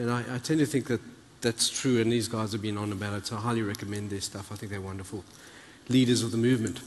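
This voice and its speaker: Amid noticeable background noise, a man with a medium pitch and fairly even intonation talks at a very fast pace. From South Africa. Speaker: conference keynote speaker. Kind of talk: keynote talk.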